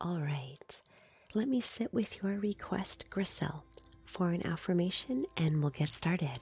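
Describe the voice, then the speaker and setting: The words unfold fairly slowly with music in the background. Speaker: reiki practitioner and live streamer. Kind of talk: live-stream reiki session, casual talk to viewers.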